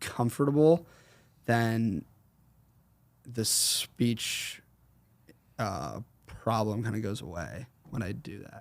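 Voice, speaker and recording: A man speaks at a very slow pace with long, frequent pauses, his pitch medium and his intonation lively. Vocal fry creeps in, and his loudness swings widely. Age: 20s. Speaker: roofing entrepreneur. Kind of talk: interview answer.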